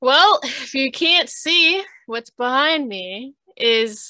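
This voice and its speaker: A woman with lively intonation and a bright, sharp tone, in a dry sound with no echo and a quiet background. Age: 20s. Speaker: multimedia artist and streamer; streamer. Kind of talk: casual chat. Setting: video call. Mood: relaxed, smiling, animated. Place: home room. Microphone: video call.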